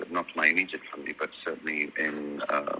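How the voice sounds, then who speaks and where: A man speaks at a very deep, low pitch with a slight Welsh accent. Music plays in the background. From South Wales, Swansea. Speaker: singer. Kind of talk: interview. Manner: halting.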